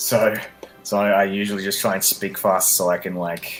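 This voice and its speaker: Noticeable background noise under fairly slow talking. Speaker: gaming streamer. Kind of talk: let's play commentary. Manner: halting.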